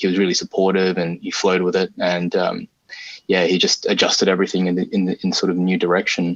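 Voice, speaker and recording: A man with an Australian accent. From Australia (arrived from Singapore at five). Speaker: game artist. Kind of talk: interview. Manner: halting, many fillers.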